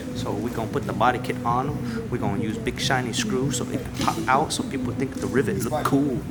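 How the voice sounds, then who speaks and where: A man speaks in a flat monotone with an American accent, with music in the background and audible room echo. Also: medium pitch for a man, fairly quick pace, hardly any pauses. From California. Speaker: car body shop worker. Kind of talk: casual chat. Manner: playful hype.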